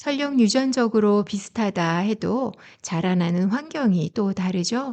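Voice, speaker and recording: A woman speaks fairly slowly with a dark, mellow tone. Her intonation is lively, and the background stays quiet. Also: medium pitch for a woman. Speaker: essay narrator and wine lecturer; parent. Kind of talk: calm bedtime essay reading. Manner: soft-spoken, calm.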